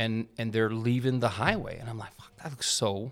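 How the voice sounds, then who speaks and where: In a very clean recording with a silent background, a man with a Texan accent speaks at a moderate pace in a medium pitch. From Texas. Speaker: police chief. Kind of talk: casual interview.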